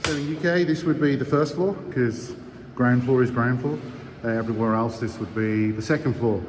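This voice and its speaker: Noticeable background noise sits behind the voice. The pace is fairly quick, with ordinary pitch variation. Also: man, medium pitch for a man. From Birmingham, England. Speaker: distillery staff giving site tour. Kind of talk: walking site tour voice-over. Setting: outdoors construction site with background noise. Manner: casual, conversational.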